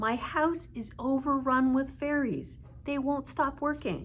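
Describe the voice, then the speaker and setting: A woman uses a put-on character voice, high in pitch with fairly even intonation. Clear background noise runs behind her. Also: fairly slow pace. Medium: read story. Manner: complaining.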